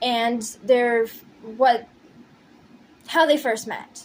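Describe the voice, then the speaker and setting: A woman's high-pitched voice at a very slow pace. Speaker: pixel artist and storyteller. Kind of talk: casual storytelling with timelapse narration. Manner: halting, stumbling over words. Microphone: poor audio quality.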